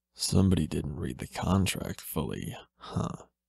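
A man puts on a character voice at a moderate pace. His pitch is very deep and low. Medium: read story. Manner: mocking, amused.

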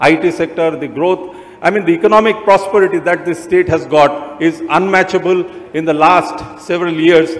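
Intonation stays fairly even as the speech proceeds at a moderate pace. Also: man. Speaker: speaker. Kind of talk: formal speech. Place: stage. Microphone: handheld.

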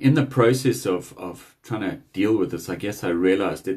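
A man's fairly low, somewhat breathy voice at a moderate pace, with ordinary pitch variation and a quiet background. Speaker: speaker. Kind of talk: devotional message. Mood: earnest, urging. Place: home room. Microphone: phone near.

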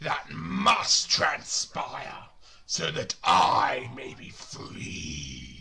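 A guttural put-on character voice from a man, at a very slow pace. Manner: menacing.

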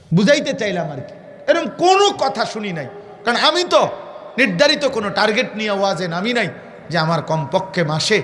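A man talks in a high pitch with an animated tone and very wide pitch swings. Noticeable background noise and audible room echo fill the recording. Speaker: Islamic preacher. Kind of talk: sermon. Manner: animated, emphatic repetition.

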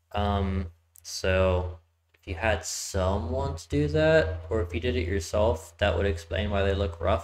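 A man talks with a very deep, low pitch. His voice is somewhat breathy. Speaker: game streamer. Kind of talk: casual gameplay commentary. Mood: relaxed, mildly amused. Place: home room. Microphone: headset.

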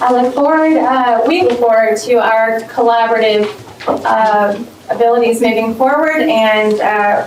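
A woman with a fairly high pitch is heard with audible room echo and noticeable background noise. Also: ordinary pitch variation, fairly slow pace, very even loudness. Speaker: teachers' association representative. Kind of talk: public comment at board meeting. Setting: board meeting room, no microphone. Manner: loud; halting. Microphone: speaking without microphone.

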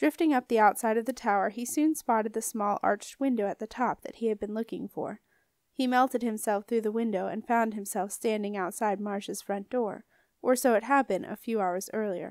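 A woman's fairly high voice with ordinary pitch variation, dry and close with no echo, in a very clean recording over a silent background. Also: fairly quick pace. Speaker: audiobook narrator. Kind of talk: dramatic audiobook narration with character voices. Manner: animated, expressive storytelling.

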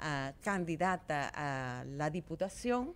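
Over light background noise, a woman talks with a very deep, low pitch. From Dominican Republic. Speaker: politician. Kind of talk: interview. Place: studio. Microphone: studio mic.

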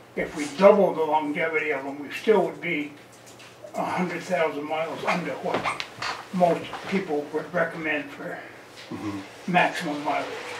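The delivery moves at a moderate pace, broken by long, frequent pauses. Noticeable background noise runs underneath. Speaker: resident raising road budget concerns. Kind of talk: public meeting discussion. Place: meeting room. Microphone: camera far.

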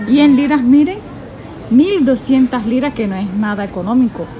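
Delivered at a moderate pace in a Colombian Caribbean accent, the voice has a dark, mellow tone, with faint background noise behind it. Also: woman.

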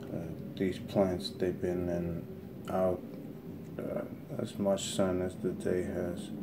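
A man with a very deep, low pitch at a very slow pace, with noticeable background noise. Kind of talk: casual vlog chat. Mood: puzzled, a bit frustrated. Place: home room. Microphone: phone near.

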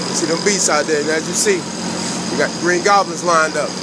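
Over loud background noise, the speech moves at a fairly quick pace with a dry sound and no echo. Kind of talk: casual vlog chat. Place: street. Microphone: phone near.

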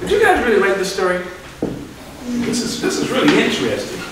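Noticeable noise sits in the background. The room echo is strong. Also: man. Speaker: visiting reader. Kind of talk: reading a story aloud to children. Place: classroom. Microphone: camera far.

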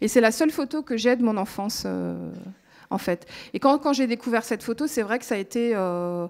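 Against a quiet background, a woman speaks at a moderate pace, her pitch varying in an ordinary way. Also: fairly high pitch for a woman. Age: 30s. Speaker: radio reporter and documentary maker; radio reporter. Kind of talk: testimony. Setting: stage with audience. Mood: emotional, reflective. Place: stage. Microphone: handheld.

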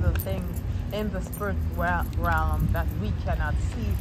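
Speech comes at a very slow pace over loud background noise. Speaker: prayer leader / church member and social media creator. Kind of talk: fervent spoken prayer, live-streamed to followers. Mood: fervent, devotional. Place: street. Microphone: phone near.

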